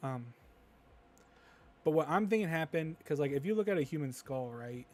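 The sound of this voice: At a moderate pace, a man with a fairly high pitch talks in lively intonation and a slightly mellow tone.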